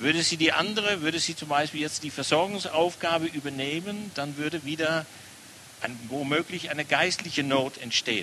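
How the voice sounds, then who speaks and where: Over noticeable background noise, a man with a Dutch accent talks at a moderate pace with long, frequent pauses, his fairly high voice showing ordinary pitch variation. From Netherlands. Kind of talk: sermon.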